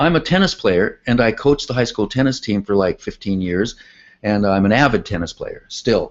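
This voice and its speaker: Using an ordinary speaking voice, a man with an American accent talks at a medium pitch and a moderate pace with lively intonation. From California. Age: 60s. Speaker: artist and tennis coach. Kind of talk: interview.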